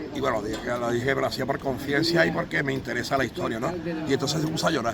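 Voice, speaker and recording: A man talks at a very fast pace with a medium pitch. His pitch varies in an ordinary way over noticeable background noise. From Málaga, Andalusia, Spain. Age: 60s. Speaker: memorial association member on a commemorative march. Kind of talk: interview testimony.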